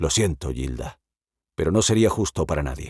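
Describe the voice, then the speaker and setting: In a put-on character voice, a man growls at a very deep, low pitch with lively intonation and a moderate pace. The sound is dry and close, with no echo. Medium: read story.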